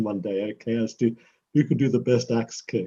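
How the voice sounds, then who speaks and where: Dark, mellow tone from a man, somewhat breathy, medium in pitch, with ordinary pitch variation. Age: 70s. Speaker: professor and karate practitioner. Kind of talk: interview answering a child's questions.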